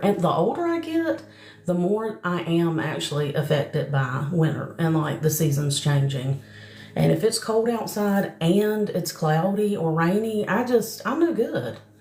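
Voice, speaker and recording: Over noticeable background noise, a woman with a Southern US accent speaks at a fairly low pitch and a fairly slow pace, her intonation lively. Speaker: psychic medium. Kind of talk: live stream chat and mediumship readings. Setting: live stream. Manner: casual, chatty.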